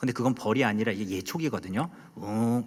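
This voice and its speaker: A man with a Gangwon accent speaks with ordinary pitch variation. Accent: Gangneung dialect intonation. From Korea, Gangneung (Gangwon). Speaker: pastor. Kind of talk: sermon. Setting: church. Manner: loud, emphatic; sounds angry.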